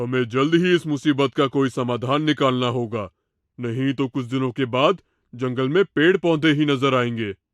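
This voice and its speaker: Doing a cartoonish character voice, a man speaks at a moderate pace and medium pitch against a quiet background. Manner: authoritative.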